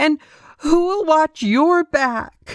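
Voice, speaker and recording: A woman's put-on character voice, squeaky and extremely high, with lively intonation. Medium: read story. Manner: defiant, emotional.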